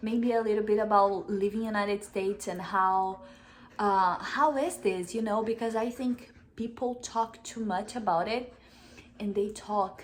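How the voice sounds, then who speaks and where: Speaking in a Brazilian accent, a woman keeps a moderate pace, a fairly high pitch and fairly even intonation. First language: Portuguese. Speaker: vlogger. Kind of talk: casual chat. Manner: halting.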